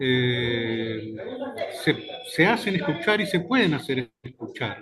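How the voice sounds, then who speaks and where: Very wide pitch swings at a very slow pace, with music in the background. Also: man, fairly high pitch for a man. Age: 60s. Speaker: journalist. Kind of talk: casual chat.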